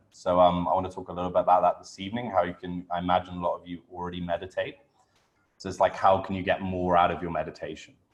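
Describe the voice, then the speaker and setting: A man with a British accent, very deep and low, very fast, with monotone, flat intonation. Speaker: breathwork coach. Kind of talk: online workshop.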